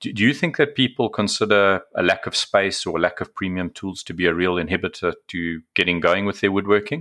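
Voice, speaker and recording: A man with a fairly low pitch, a bright, sharp tone and ordinary pitch variation speaks at a fairly quick pace with hardly any pauses, on a very clean recording with a silent background. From South Africa. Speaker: podcast host, book reviewer. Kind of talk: scripted book review; casual interview.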